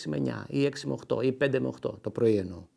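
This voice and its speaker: A man speaks with very wide pitch swings and vocal fry. The background is quiet. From Greece, Kallithea (Athens); Greece. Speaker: retired ambassador and poet. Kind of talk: interview. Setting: his home. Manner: hesitant, many filler sounds.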